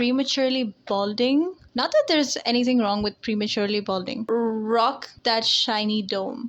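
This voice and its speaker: The speech runs at a moderate pace with hardly any pauses and ordinary pitch variation. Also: woman, fairly high pitch for a woman. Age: 20s. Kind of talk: casual talk to camera. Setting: low-quality headset-style mic.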